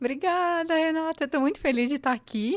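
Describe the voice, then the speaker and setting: A woman with a Florianópolis accent talks at a fairly quick pace with lively intonation, on a very clean recording with a silent background and a dry, close sound with no echo. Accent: Florianópolis accent, non-paulista. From Santa Catarina, Brazil (Angelina, near Lages). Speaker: civil construction entrepreneur and mentor. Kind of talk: podcast interview.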